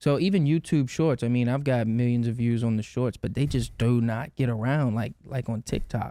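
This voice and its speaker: The voice has a dark, mellow tone and hardly any pauses, on a very clean recording with a silent background. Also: man, medium pitch for a man, ordinary pitch variation, moderate pace. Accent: Louisiana. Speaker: videographer and content creator. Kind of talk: casual chat.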